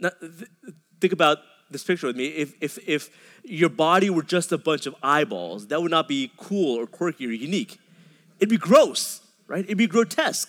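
In an American accent, a man with a high pitch talks at a moderate pace with lively intonation, the sound dry and close with no echo. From Dallas suburbs, Texas. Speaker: pastor. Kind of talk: sermon. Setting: church. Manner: halting, frequent repetitions.

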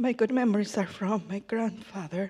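Fairly slow and fairly even in intonation, a woman speaks in a Spanish accent with a dark, mellow tone. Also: very clean recording, silent background. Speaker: baptism candidate. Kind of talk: testimony. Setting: church.

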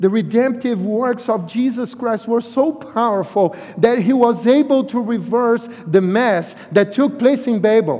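With a Brazilian accent and an extremely high pitch, a man speaks at a fairly slow pace with ordinary pitch variation amid noticeable background noise. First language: Portuguese. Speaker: visiting pastor. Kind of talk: sermon. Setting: church. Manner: halting, repeats words.

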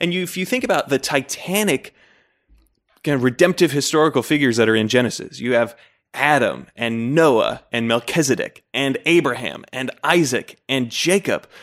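With an American accent and an ordinary speaking voice, a man talks at a moderate pace and fairly high pitch on a very clean recording with a silent background. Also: ordinary pitch variation. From Utah. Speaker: Bible scholar and editor. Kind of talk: interview.

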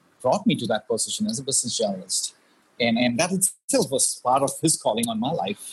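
A man talks in a somewhat breathy voice with ordinary pitch variation. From India. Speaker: pastor and former business journalist. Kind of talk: interview.

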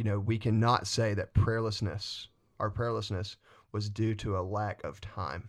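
In a very clean recording with a silent background, a man with a Southern US accent talks with fairly even intonation. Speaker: student pastor. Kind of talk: casual podcast chat about faith. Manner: fast talker.

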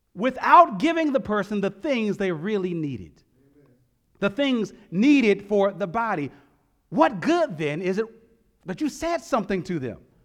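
A man with a high voice speaks in very wide pitch swings. He leaves long, frequent pauses. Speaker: preacher. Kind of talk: sermon. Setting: church. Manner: earnest, emphatic preaching that repeats key lines and slows for effect; vivid storytelling that draws the congregation in with imagined scenes.

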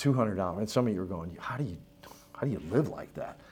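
With lively intonation and fairly low pitch, a man speaks in an unremarkable speaking voice. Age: 60s. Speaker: pastor. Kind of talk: church membership class teaching. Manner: casual, joking.

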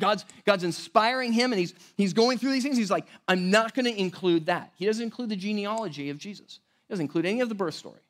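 Loud and at a very fast pace, a man speaks with a high pitch and ordinary pitch variation on a very clean recording with a silent background. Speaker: pastor. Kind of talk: sermon.

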